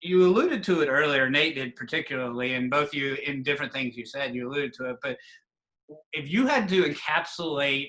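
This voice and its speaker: The man's pitch sits fairly high, with ordinary variation, in a normal speaking voice. He talks at a fairly quick pace. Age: 40s. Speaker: conference staff, show host. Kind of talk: casual interview.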